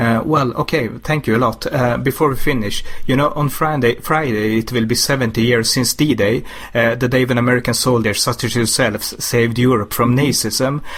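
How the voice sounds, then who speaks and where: A man speaks fairly quickly with a Swedish accent. His pitch is medium and his intonation fairly even. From Sweden. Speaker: interviewer. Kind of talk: interview.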